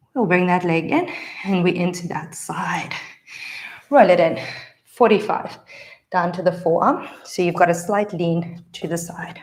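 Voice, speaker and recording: A woman's fairly low voice at a fairly slow pace, with ordinary pitch variation, long, frequent pauses and audible room echo. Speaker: pilates instructor. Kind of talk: guided workout instruction. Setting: live stream. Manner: encouraging, instructive.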